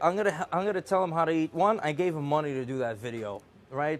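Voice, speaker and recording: Lively intonation at a fairly quick pace, with an American accent. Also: man. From Azerbaijan, then New York. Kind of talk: casual rant to viewers. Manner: animated; halting, many fillers.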